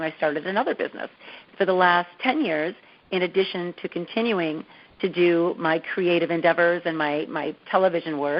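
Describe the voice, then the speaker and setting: A woman with an American accent and medium pitch has an unremarkable speaking voice, talking at a moderate pace with fairly even intonation. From US Midwest, Dearborn, Michigan. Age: 50s. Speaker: TV host and confidence coach. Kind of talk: interview.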